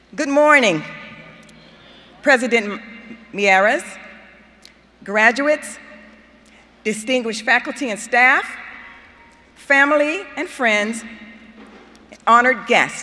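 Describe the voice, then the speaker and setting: A woman speaks at a very slow pace and high pitch, with long, frequent pauses. Noticeable background noise is present. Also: ordinary pitch variation. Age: 70s. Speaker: student speaker. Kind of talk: commencement speech.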